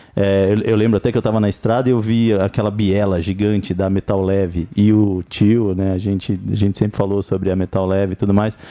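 A man's fairly low-pitched voice with a dark, mellow tone, flat monotone intonation, very even loudness, a fairly quick pace and hardly any pauses. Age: 50s. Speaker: podcast co-host. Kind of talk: casual chat.

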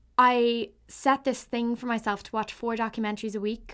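Over a silent background in a very clean recording, a woman with a Dublin accent speaks in a monotone, flat intonation. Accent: Irish (Dublin). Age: 20s. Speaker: podcaster. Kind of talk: solo monologue. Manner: hesitant, many fillers.

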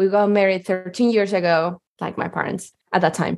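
A woman speaks with a Spanish accent against a quiet background. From Chile, Santiago. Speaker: improviser and geology PhD student. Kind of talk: personal storytelling.

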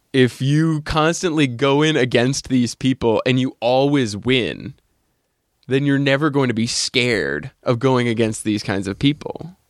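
This is a normal speaking voice, and its pitch varies in an ordinary way. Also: man. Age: 30s. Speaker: podcast host. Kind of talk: casual chat.

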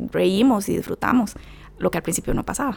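A woman with a Costa Rican accent. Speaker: bereaved mother. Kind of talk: testimony.

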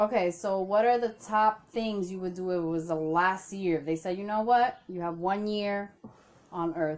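A woman at medium pitch, moderate pace and fairly even intonation. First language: not English. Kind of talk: casual chat.

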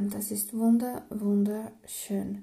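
A woman's somewhat breathy, dark, mellow voice at a fairly high pitch and a very slow pace, with audible room echo. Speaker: spiritual podcast host. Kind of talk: daily spiritual guidance monologue. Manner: casual, chatty.

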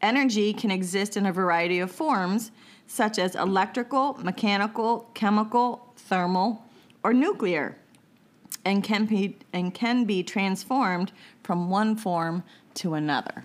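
An unremarkable speaking voice from a woman, fairly slow, with ordinary pitch variation. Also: medium pitch for a woman. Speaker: podcast host. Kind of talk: casual chat.

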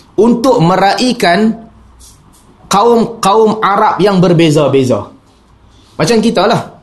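A man talks at a very slow pace with lively intonation. Audible room echo surrounds his voice. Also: long, frequent pauses, very even loudness. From Penang, Malaysia. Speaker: Islamic preacher. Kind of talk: religious lecture.

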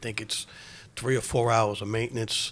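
A man with a New York accent, medium pitch and a fairly quick pace. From New York City, Queens. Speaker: retired fire department deputy chief. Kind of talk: casual interview.

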